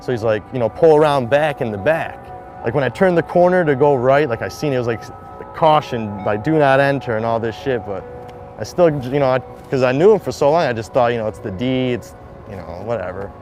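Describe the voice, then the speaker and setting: A man with a Detroit accent talks at a fairly quick pace with lively intonation. Noticeable background noise runs underneath. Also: medium pitch for a man. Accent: Detroit-area American English. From Michigan, Detroit suburbs. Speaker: shooting survivor and skateboarder. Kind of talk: personal testimony interview. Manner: casual, filler-heavy.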